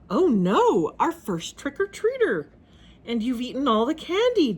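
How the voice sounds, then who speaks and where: A female-sounding, put-on character voice swings very widely around a high pitch at a moderate pace. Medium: read story. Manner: anxious, excitable.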